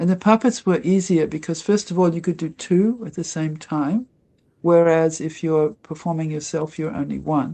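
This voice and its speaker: A woman with a fairly low, dark, mellow voice speaks against a quiet background. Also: ordinary pitch variation, moderate pace. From Australia, Melbourne. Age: 70s. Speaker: devotee and former actress. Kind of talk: interview testimony. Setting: livestreamed interview.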